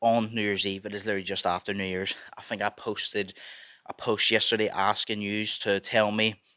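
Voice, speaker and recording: A loud man speaks at a fairly quick pace in a fairly low pitch with a bright, sharp tone. His intonation is monotone and flat, on a very clean recording with a silent background. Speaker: music reaction youtuber. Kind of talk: casual reaction monologue. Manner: fast.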